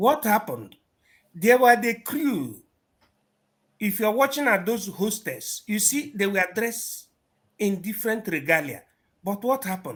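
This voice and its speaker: Delivered with a Nigerian accent at a fairly slow pace, the speech has long, frequent pauses on a very clean recording with a silent background. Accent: Nigerian Igbo English. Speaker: political activist speaker. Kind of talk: speech at a gathering.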